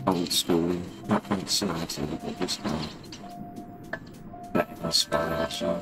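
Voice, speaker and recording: Mumbled words come at a very slow pace while clear music plays in the background. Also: man. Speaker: game streamer. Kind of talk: casual gaming commentary. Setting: home microphone with ambient background sounds. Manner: mumbling. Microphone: phone near.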